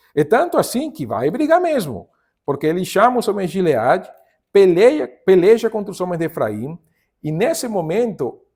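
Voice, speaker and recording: A man's high-pitched voice with a strong non-native accent, very wide pitch swings and a moderate pace, in a very clean recording with a silent background. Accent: strong foreign accent in Portuguese. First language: Spanish (speaking Portuguese). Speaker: pastor / Bible teacher. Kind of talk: Bible study lesson. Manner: halting, self-correcting.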